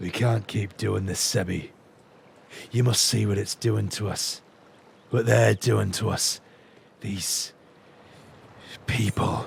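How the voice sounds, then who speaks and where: A man's fairly low, put-on character voice at a fairly slow pace, broken by long, frequent pauses. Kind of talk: streamer's dramatic voice acting. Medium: game stream. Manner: scornful, intense.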